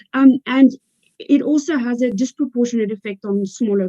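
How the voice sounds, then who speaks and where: A woman with a South African accent has a dark, mellow, somewhat breathy tone and ordinary pitch variation, recorded dry and close with no echo. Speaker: legal expert panelist. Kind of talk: panel discussion. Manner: hesitant, many fillers.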